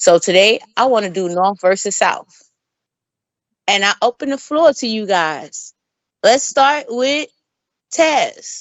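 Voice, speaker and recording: Speaking very slowly in a New York accent, the voice takes long, frequent pauses and makes very wide pitch swings. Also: woman, fairly high pitch for a woman. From New York, the Bronx. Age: 40s. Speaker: podcast host. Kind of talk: casual chat.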